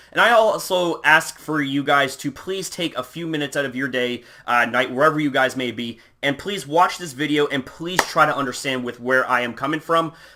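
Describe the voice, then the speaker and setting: A man with a fairly high pitch and ordinary pitch variation talks at a fairly quick pace over noticeable background noise. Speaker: YouTuber. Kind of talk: casual vlog monologue. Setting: at home. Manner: off the cuff, hesitant.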